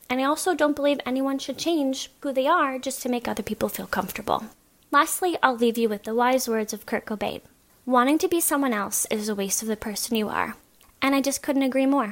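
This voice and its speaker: A woman with a high pitch speaks at a fairly quick pace, her pitch varying in an ordinary way. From Halifax, Canada. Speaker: lifestyle and travel blogger. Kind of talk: testimony.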